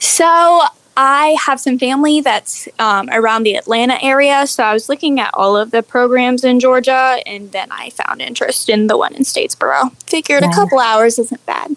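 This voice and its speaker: With an American accent, a woman speaks at a high pitch and ordinary pitch variation, in a dry, close sound with no echo, over noticeable background noise. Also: moderate pace, hardly any pauses. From Arizona. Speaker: registered dietitian. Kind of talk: interview.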